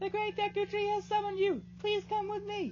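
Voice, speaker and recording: A man's squeaky, put-on character voice at an extremely high pitch and a fairly quick pace, with clear background noise. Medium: game stream. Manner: bright, exclamatory.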